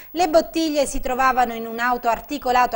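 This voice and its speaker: Fairly quick speech from a woman with a high pitch. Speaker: TV news anchor. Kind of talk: formal TV news bulletin reading crime headlines. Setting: TV studio. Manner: formal, brisk and even, anchor-style delivery; neutral, steady and authoritative. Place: studio.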